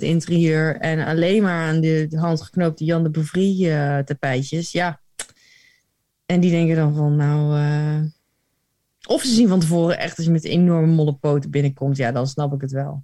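Her voice sits very deep and low for a woman, with fairly even intonation. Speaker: podcast co-host. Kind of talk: casual chat.

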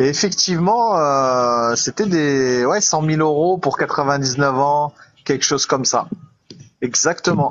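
Very slow in pace, a man speaks at a fairly high pitch with very even loudness. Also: ordinary pitch variation. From Île-de-France. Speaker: live stream viewer joining on air. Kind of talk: casual chat.

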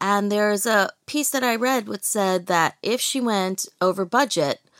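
An ordinary speaking voice from a woman with an American accent, medium pitch, lively intonation, moderate pace, very clean recording with a silent background, dry and close with no echo. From US, New York (Brooklyn). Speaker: film festival founder and publisher. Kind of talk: interview.

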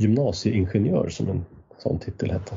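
At a moderate pace, the voice comes across somewhat breathy. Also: man. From Sweden. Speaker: podcast host. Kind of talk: casual chat.

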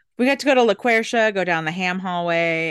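Over a quiet background, the voice swings very widely in pitch. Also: woman. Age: 40s. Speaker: podcast host, cheesemonger. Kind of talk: casual chat.

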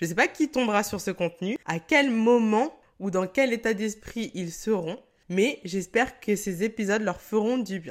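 A woman's fairly high voice moves at a fairly slow pace with lively intonation. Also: very clean recording, silent background. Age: 20s. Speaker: wellness podcast host. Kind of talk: solo podcast monologue. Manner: animated, laughing often.

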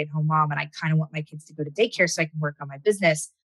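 A woman with an American accent at a very fast pace, somewhat breathy, in a dry, close sound with no echo. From Southern California. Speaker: entrepreneur and business author. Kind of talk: interview conversation.

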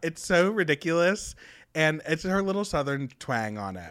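The man's tone is bright and sharp. The background is silent and the recording very clean. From small town. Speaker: podcast co-host, television writer. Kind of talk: casual chat.

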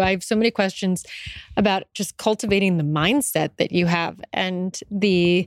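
A woman with a plain, everyday voice speaks at a moderate pace, her pitch medium and its variation ordinary. The recording is very clean with a silent background, and the sound is dry and close with no echo. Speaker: podcast host. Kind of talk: live interview. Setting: stage with audience.

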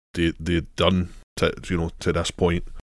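A man with a Scottish accent, very deep and low in pitch, at a fairly slow pace. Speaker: podcast co-host. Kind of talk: casual chat.

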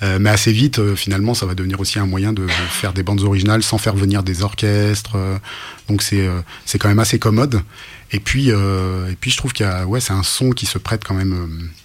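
The man speaks at a fairly low pitch with fairly even intonation. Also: fairly quick pace. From France, urban upbringing. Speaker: author and rapper. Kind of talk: radio interview. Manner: halting with many repetitions.

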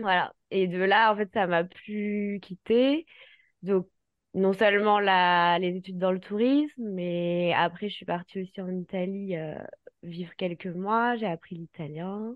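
A woman speaks very slowly at a medium pitch, keeping her intonation fairly even. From France, raised in Paris. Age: 30s. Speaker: travel planner. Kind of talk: casual chat.

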